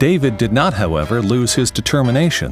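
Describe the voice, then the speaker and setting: Music plays in the background as a man speaks at a moderate pace with very wide pitch swings. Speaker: voice actor. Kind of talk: corporate narration.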